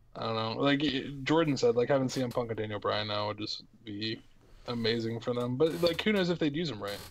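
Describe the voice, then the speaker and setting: A man speaks at a very fast pace in an American accent. His medium pitch moves with ordinary variation. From Ohio Valley near the West Virginia Northern Panhandle. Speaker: podcast host. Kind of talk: casual chat.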